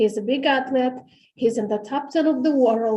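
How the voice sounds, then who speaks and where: Speaking at a moderate pace, a woman has a high pitch with ordinary pitch variation. Her tone is dark and mellow. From Romania. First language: Romanian. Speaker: parent speaking at public hearing. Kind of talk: public comment testimony. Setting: city hall auditorium meeting.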